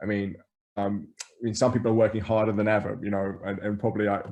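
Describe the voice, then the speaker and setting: In an English accent, a man talks at a very fast pace with monotone, flat intonation. The background is quiet. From England. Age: 40s. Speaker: grocery store co-founder. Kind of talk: interview conversation. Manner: halting, many repeated words.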